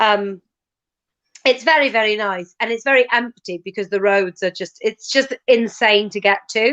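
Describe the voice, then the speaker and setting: In a west Welsh accent, a woman with a fairly high pitch speaks at a moderate pace with ordinary pitch variation, in a dry, close sound with no echo. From west Wales, Ceredigion near Aberystwyth. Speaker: comedian. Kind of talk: casual chat.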